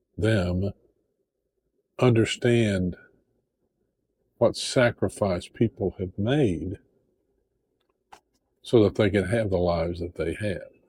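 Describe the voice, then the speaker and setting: At a very slow pace, with long, frequent pauses, a man with an Appalachian accent speaks in a fairly low, somewhat breathy voice with ordinary pitch variation. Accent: Southern Appalachian American. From Appalachian Tennessee, USA. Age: old. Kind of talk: casual talk to camera.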